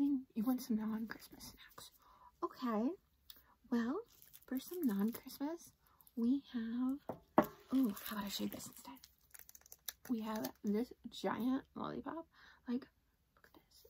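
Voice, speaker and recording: Soft-spoken, high-pitched woman's voice with a gentle tone, fairly slow with long, frequent pauses and big swings in loudness, over light background noise. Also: ordinary pitch variation. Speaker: candy reviewer. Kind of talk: casual vlog chat. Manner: soft-spoken, gentle ASMR shopkeeper voice. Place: home room.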